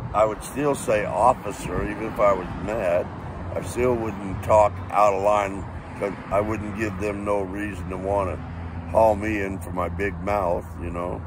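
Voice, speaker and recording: Against noticeable background noise and audible room echo, a man speaks at a fairly slow pace. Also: fairly low pitch for a man, fairly even intonation. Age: 70s. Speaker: eyewitness, Vietnam veteran. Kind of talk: interview testimony. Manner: casual, colloquial.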